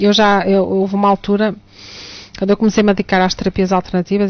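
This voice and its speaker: This speaker has a European Portuguese accent and a fairly quick pace. The intonation is monotone and flat. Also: woman. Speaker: teacher and alternative therapist. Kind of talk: radio talk show discussion.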